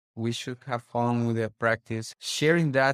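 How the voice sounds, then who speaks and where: A plain, everyday voice: a man at a medium pitch talks at a fairly slow pace on a very clean recording with a silent background. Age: 40s. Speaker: orthodontist. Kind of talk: interview.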